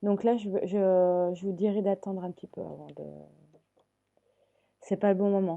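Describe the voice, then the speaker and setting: In a dark, mellow tone, the speaker goes at a fairly slow pace with monotone, flat intonation, long, frequent pauses and big swings in loudness. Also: woman, medium pitch for a woman. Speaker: tarot card reader. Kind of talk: tarot reading to viewers. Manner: hesitant, many fillers.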